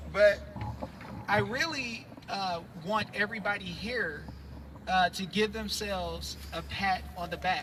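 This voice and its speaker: At a fairly slow pace, a man talks with long, frequent pauses against noticeable background noise. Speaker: activist speaker at a rally. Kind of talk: public speech to a live crowd. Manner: animated.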